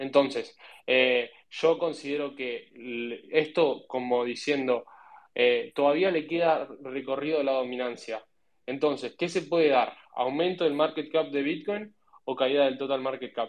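Intonation stays fairly even as the speaker proceeds fairly slowly. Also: man, fairly high pitch for a man. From Argentina. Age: 20s. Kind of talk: casual panel discussion. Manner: halting with many repetitions.

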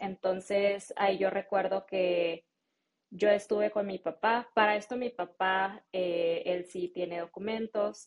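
A woman of medium pitch with a Mexican accent speaks at a very slow pace in a flat monotone. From Mexico. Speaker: marketing specialist and English-teaching entrepreneur. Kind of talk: interview.

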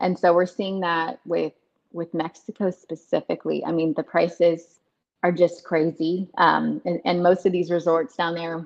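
A woman with an American accent speaks in a plain, everyday voice at a fairly low pitch. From Texas, Dallas-Fort Worth. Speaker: travel business owner, former lawyer. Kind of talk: casual interview. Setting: video call.

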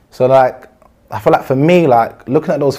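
In a London accent, a man speaks at a moderate pace with a medium pitch and a dark, mellow tone. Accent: London multicultural English. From South London (Brixton), British-Ghanaian. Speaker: former gang member. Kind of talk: interview.

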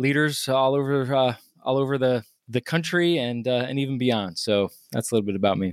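A man speaks with an American accent at a medium pitch in an ordinary speaking voice. The recording is very clean with a silent background and a dry, close sound with no echo. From US South, Virginia. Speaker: leadership coach and author. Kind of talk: interview.

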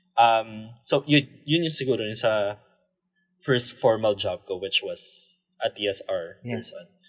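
A man talks at a fairly slow pace with a Filipino accent. His loudness swings widely. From Philippines. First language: Tagalog. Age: 20s. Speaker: podcast co-host, designer. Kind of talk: casual chat. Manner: halting, repeats words.

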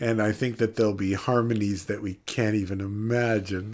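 In a quiet background, a man speaks in an ordinary speaking voice at a fairly slow pace. His pitch is fairly low, and his intonation stays fairly even. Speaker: devotional show host. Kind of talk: devotional talk and closing prayer. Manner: warm, conversational, laughs often.

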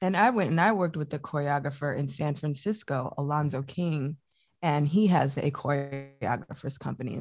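Very deep, low woman's voice with an American accent and ordinary pitch variation. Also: moderate pace. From Chicago suburbs, US Midwest. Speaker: dancer, choreographer and professor. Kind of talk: interview.

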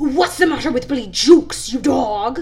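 A put-on character voice, high-pitched and hissing, plays over light background noise. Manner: hissing, menacing.

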